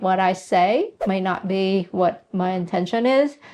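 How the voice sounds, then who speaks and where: With ordinary pitch variation, a woman talks in a non-native accent. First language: not English. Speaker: real estate investor and channel host. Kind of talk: casual tutorial to camera. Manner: direct.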